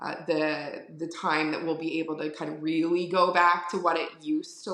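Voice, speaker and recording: A woman with a Philadelphia accent and audible room echo. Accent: Philadelphia-area (Delco). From Delaware County, Pennsylvania (Philadelphia area). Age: 40s. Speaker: florist. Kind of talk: casual interview chat. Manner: filler-heavy, repeats words.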